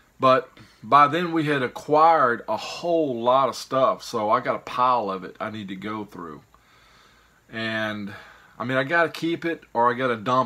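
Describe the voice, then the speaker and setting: A man with a Mississippi accent, bright, sharp tone, lively intonation and big swings in loudness. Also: medium pitch for a man, moderate pace. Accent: Southern US (Mississippi). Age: 50s. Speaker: YouTuber, reseller of picked goods. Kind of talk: casual vlog monologue. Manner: rambling, hesitant with fillers.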